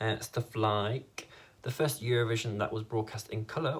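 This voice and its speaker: A somewhat breathy man talks at a moderate pace with fairly even intonation. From northern England, Leeds, Yorkshire. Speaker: YouTuber and fan site editor. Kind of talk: reaction video.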